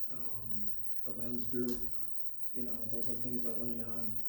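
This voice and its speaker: A man speaks at medium pitch and a moderate pace in a monotone, flat intonation. Audible room echo and noticeable background noise surround him. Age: 60s. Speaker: speaker sharing a mental health story. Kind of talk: testimony.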